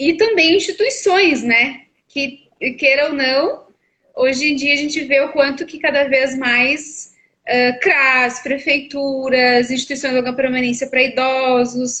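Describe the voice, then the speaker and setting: Her voice is high in pitch, varying in an ordinary way. The woman talks at a fairly slow pace. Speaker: psychologist. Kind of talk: live stream conversation. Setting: online live stream.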